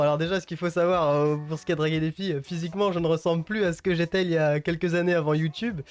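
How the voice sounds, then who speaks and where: A very fast, high-pitched man's voice with a Parisian accent. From Île-de-France, Yvelines (Mantes-la-Jolie). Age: 20s. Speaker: youtuber. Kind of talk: casual Q&A monologue to viewers. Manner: casual, hesitant with fillers.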